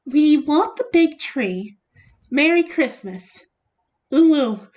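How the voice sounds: In a put-on character voice, a woman speaks very slowly with a high pitch and very wide pitch swings.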